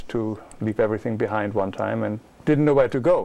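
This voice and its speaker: Speaking in a German accent, a man talks at a very fast pace. His pitch is medium and its variation ordinary. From Germany. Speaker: author and illustrator. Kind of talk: interview.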